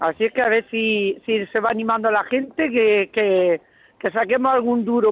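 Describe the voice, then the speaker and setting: Her voice sits fairly high, with ordinary pitch variation. The woman talks at a moderate pace in a dry, close sound with no echo. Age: 60s. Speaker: radio panelist. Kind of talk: casual chat. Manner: animated.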